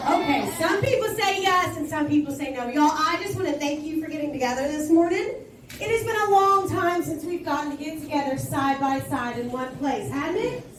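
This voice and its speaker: A woman with an American accent talks loudly at a fairly quick pace in a high pitch, with lively intonation and hardly any pauses. Audible room echo and noticeable background noise are present. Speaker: school administrator. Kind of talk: school assembly address. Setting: school assembly. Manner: animated.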